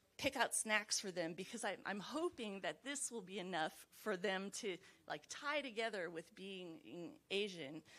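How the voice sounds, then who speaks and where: In an American accent, the speaker goes along at a fairly slow pace. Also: woman. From Los Angeles, US West Coast. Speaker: mental health professional. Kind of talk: book club discussion.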